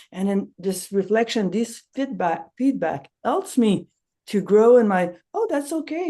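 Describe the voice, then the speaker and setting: A woman with a non-native accent and a dark, mellow tone speaks at a moderate pace. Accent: noticeable non-native accent in English. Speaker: nonviolent communication trainer. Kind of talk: casual promotional chat.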